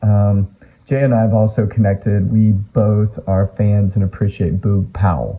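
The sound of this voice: A raspy, fairly low male voice with an American accent and fairly even intonation.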